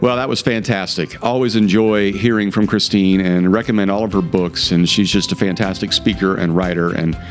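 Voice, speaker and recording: Music plays in the background as a man talks. He goes at a fairly quick pace with hardly any pauses. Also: fairly low pitch for a man, ordinary pitch variation. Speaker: podcast host, pastor.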